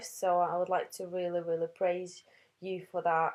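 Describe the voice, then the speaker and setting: Against a quiet background, a woman talks with a non-native accent. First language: not English. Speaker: postnatal fitness trainer. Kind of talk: webinar presentation. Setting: online webinar. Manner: halting, many fillers and restarts.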